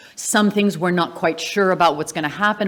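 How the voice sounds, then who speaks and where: With an American accent, a woman is talking. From Wales, the Valleys, raised mostly in the US. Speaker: family representative giving vote of thanks. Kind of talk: vote of thanks speech.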